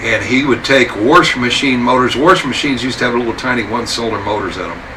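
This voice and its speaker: A man with an American accent speaks in a room with audible echo and noticeable background noise. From Wyoming, US. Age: 70s. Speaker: veteran motorcycle builder. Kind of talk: interview monologue, storytelling. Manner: talkative, rambling with fillers.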